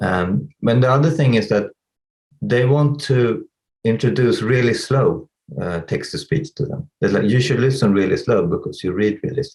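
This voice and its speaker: Lively intonation from a man, somewhat breathy. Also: medium pitch for a man, moderate pace. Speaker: tech company CEO. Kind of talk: interview. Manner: halting.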